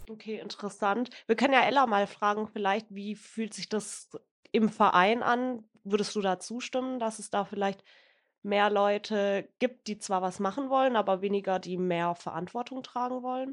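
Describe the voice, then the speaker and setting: With an ordinary speaking voice, a woman talks at a moderate pace and medium pitch, with fairly even intonation, against a quiet background. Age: 20s. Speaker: youth council member, podcast co-host. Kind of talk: interview.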